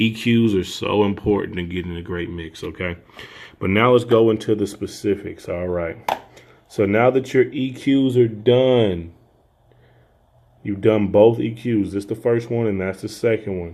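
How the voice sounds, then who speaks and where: A man speaks at a moderate pace in a fairly low pitch. His pitch varies in an ordinary way. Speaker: audio engineer. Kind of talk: tutorial. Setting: home studio. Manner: soft-spoken.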